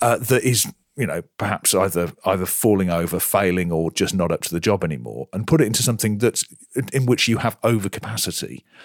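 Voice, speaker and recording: A man talks at a very fast pace with lively intonation, fairly low pitch and vocal fry. The sound is dry and close, with no echo. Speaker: podcast host. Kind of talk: casual chat.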